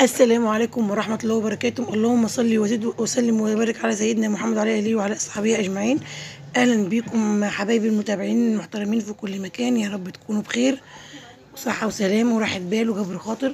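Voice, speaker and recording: The voice has fairly even intonation, heard over noticeable background noise. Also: woman, fairly high pitch for a woman, fairly quick pace. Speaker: vlogger. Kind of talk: casual vlog narration. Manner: halting, many fillers.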